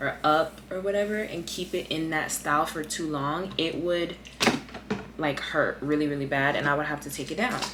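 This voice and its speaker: A woman speaks at a moderate pace in a very deep, low pitch with fairly even intonation. Audible room echo and noticeable background noise fill the recording. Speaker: beauty vlogger. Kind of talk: casual chat. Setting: at home, late at night.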